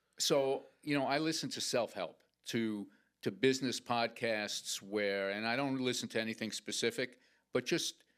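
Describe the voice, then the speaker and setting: A man with an unremarkable speaking voice uses a medium pitch, ordinary pitch variation and a moderate pace on a very clean recording with a silent background. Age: 60s. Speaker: entrepreneur. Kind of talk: interview.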